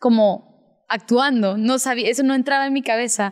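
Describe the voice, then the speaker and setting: A woman with a normal speaking voice, moderate pace and fairly even intonation, in a very clean recording with a silent background. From Peru, with childhood in Spain and Sweden. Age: young. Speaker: actress. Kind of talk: interview.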